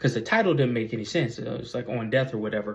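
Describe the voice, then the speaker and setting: Speaking at a very fast pace, a man sounds somewhat breathy, with ordinary pitch variation. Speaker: YouTuber, vlogger. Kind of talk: casual vlog monologue. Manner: halting, many fillers and repetitions.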